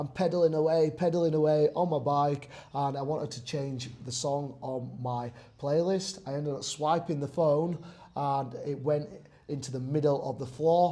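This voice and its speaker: At a moderate pace, a man with a fairly high pitch speaks in a dark, mellow, somewhat breathy tone with fairly even intonation. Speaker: personal trainer. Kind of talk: casual talk to camera.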